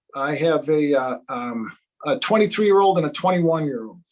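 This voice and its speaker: A man with an American accent at a moderate pace. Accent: Chicago accent, stronger when angry. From Chicago, south side. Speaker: day trader and trading educator. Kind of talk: live stream talk. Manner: animated.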